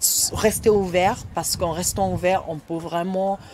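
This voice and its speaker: A woman speaks at a very slow pace with ordinary pitch variation. Background noise is noticeable. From Nigeria. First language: Igbo (speaking French). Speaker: writer and storyteller. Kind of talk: interview. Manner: halting.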